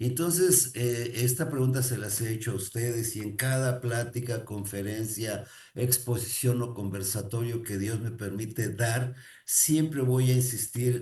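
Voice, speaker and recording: With ordinary pitch variation and a medium pitch, a man talks at a fairly slow pace in a dark, mellow, somewhat breathy tone, with audible room echo. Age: 60s. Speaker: motivational speaker. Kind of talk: motivational talk. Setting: recorded to camera.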